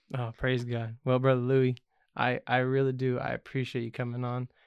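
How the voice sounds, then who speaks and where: A man with monotone, flat intonation. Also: big swings in loudness. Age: 30s. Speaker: podcast host. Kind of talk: casual interview.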